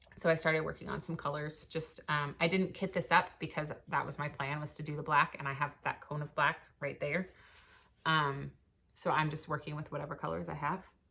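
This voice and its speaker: A woman speaks at a fairly quick pace with a very deep, low pitch and vocal fry. Her tone is bright and sharp, her intonation monotone and flat. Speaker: cross stitch vlogger. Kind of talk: casual chat. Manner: fast; hesitant fillers.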